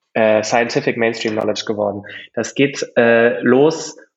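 A man's medium-pitched voice at a moderate pace. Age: 30s. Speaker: startup founder. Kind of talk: interview. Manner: halting.

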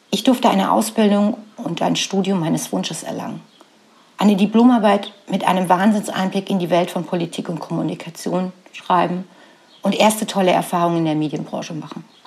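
Over noticeable background noise, a woman with a medium pitch and ordinary pitch variation speaks at a fairly quick pace. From Saxony, eastern Germany (Radeberg near Dresden). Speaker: podcast host and business coach. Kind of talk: personal storytelling monologue.

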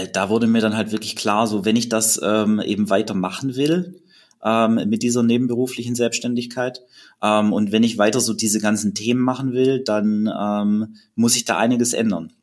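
A man's unremarkable speaking voice, medium in pitch, at a fairly slow pace with fairly even intonation, in a very clean recording with a silent background. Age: 30s. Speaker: fitness blogger. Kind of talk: podcast interview.

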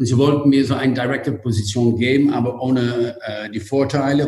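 Ordinary pitch variation at a moderate pace. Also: man. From Netherlands. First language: Dutch (speaking German). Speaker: hotel group executive. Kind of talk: interview.

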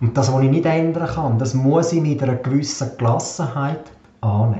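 A man at a medium pitch and moderate pace, fairly even in intonation, with noticeable background noise and audible room echo. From Switzerland, Graubünden (Davos). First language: Swiss German (speaking German). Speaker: podcast host. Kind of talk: personal monologue.

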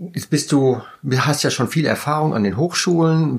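A man speaks in a normal speaking voice. His pitch is fairly high, with ordinary pitch variation. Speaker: podcast host. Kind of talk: casual interview.

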